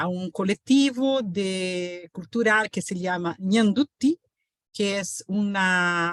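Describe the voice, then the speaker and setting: With a Portuguese accent, a woman speaks at a medium pitch with ordinary pitch variation, her sound dry and close with no echo. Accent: Portuguese-accented Spanish, non-native. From Brazil. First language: Portuguese (speaking Spanish). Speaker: professor. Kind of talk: lecture. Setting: video call webinar. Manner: halting, many fillers and self-corrections.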